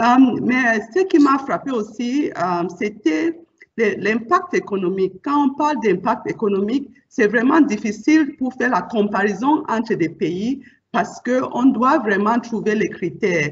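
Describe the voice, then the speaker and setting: This woman talks at a fairly slow pace in a fairly high voice, her pitch swinging very widely. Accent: non-native. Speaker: bank executive. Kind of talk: panel discussion.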